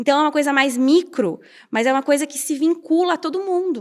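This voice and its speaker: A woman speaks at a high pitch and a fairly quick pace. The recording is very clean, with a silent background. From Brazil, Curitiba. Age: 30s. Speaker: architect and urban activist. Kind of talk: interview conversation. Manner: fast.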